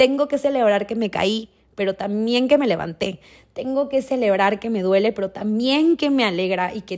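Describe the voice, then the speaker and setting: At a moderate pace, a woman talks in a normal speaking voice with fairly high pitch and ordinary pitch variation, captured in a very clean recording against a silent background. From Mexico, Durango. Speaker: podcast host and ceremony guide. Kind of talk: personal storytelling monologue.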